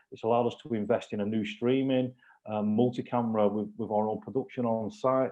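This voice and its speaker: A man at medium pitch with a Lancashire accent, fairly quick and in a flat monotone. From northern England, Lancashire. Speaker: football club executive. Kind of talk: testimony.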